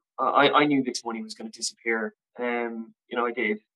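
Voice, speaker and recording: A man at medium pitch is heard with a dry, close sound with no echo. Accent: western Irish. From Ireland, Castlebar (County Mayo). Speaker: recovering addict, drummer and model. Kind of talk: personal testimony in interview. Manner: halting, many fillers and repetitions.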